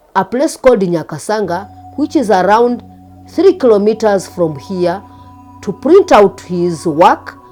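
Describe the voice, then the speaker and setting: Speech at a fairly slow pace plays over music in the background. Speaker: former teacher. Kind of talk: interview answer.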